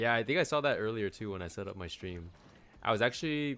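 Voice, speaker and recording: A man's voice over music in the background. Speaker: streamer. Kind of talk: casual chat while gaming. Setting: live stream at home.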